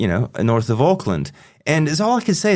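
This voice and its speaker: This man speaks with an American accent. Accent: still very American after 30 years. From US, Pennsylvania. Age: 50s. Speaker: psychotherapist. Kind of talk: casual interview chat. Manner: halting, many repetitions and fillers.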